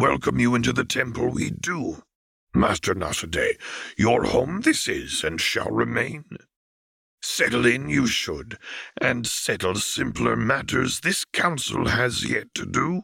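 A man's raspy, put-on character voice at a fairly slow pace. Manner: solemn, inverted word order.

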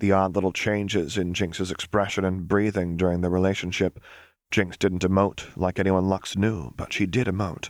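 The speaker is reading aloud in a natural voice. The passage is read rather than spoken off the cuff.

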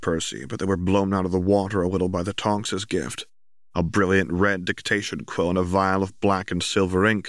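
The clip features a natural reading voice. The words are read out.

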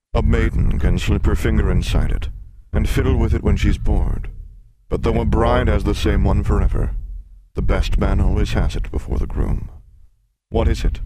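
The speaker uses a put-on character voice with growling. The pace is moderate, broken by long, frequent pauses. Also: man. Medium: read story. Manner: haughty, mocking.

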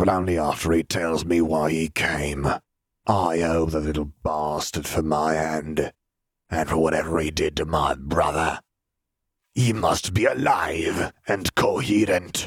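Putting on a character voice, a man speaks at a fairly slow pace with a very deep, low pitch and audible hissing.

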